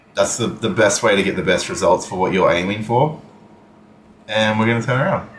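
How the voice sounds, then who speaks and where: A man's lively, fairly quick speech amid audible room echo. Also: medium pitch for a man. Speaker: gaming streamer. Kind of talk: live gameplay stream chat. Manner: casual, hesitant with fillers.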